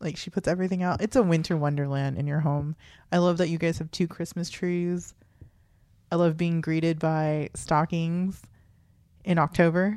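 On a very clean recording with a silent background, a woman speaks at a moderate pace in a dark, mellow tone, her pitch fairly low and her intonation fairly even. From USA, Filipino-American family. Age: 30s. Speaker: podcast co-host. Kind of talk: casual chat.

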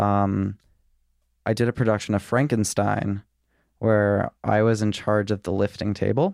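Over a very clean, silent background with a dry, close sound and no echo, a man with a fairly low pitch talks in a flat monotone at very even loudness, leaving long, frequent pauses. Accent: American. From Richmond, Virginia. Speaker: production designer. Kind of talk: casual chat.

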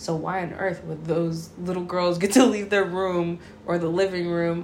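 A woman talks at a moderate pace and fairly low pitch in a monotone, flat intonation, with audible room echo. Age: 30s. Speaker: host's girlfriend. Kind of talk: casual chat.

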